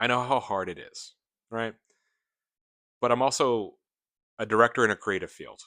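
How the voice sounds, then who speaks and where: A man with a medium pitch speaks at a moderate pace in a calm, bright, sharp tone, with fairly even intonation, big swings in loudness, long, frequent pauses and a quiet background. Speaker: gaming video creator. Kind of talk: casual commentary rant.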